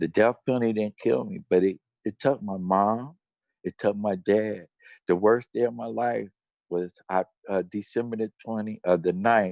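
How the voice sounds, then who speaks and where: In an American accent, a normal speaking voice talks at a moderate pace with fairly even intonation and a dry, close sound with no echo. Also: man, fairly low pitch for a man. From Cincinnati, Ohio, US Midwest. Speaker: death row exoneree, activist. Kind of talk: testimony.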